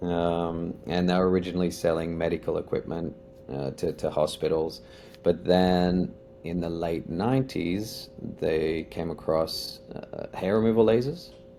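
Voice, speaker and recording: A speaker with an Australian accent talks at a fairly slow pace over music in the background. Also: man, very deep, low pitch for a man, ordinary pitch variation. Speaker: company executive. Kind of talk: podcast interview.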